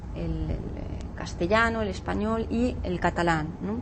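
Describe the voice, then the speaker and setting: There is noticeable background noise and audible room echo. A woman is speaking. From Catalonia, Spain. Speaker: law professor. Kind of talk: interview. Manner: halting.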